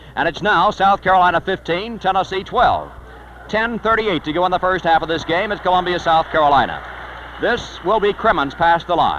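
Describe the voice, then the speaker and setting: Fairly quick, fairly even speech over noticeable background noise. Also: man, high pitch for a man. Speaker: sports broadcaster. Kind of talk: live basketball play-by-play. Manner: fast.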